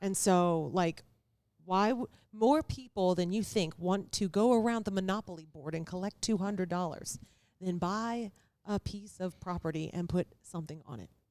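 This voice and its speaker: This is an unremarkable speaking voice at a moderate pace. Its pitch varies in an ordinary way. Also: woman, medium pitch for a woman. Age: 40s. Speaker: real estate investor and entrepreneur. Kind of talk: casual chat.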